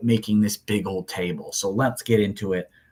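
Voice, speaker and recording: A man with a fairly low pitch is heard on a very clean recording over a silent background. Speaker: math teacher. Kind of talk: lecture. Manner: fast.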